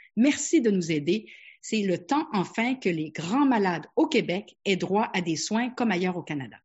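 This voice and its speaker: Somewhat breathy, a woman speaks at medium pitch and a fairly slow pace with very wide pitch swings. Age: 60s. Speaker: family physician. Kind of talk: webinar presentation.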